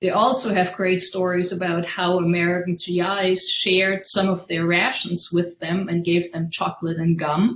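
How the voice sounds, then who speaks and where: A woman with a German accent and fairly even intonation. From Germany, Worms. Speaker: history scholar on a panel. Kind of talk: academic lecture.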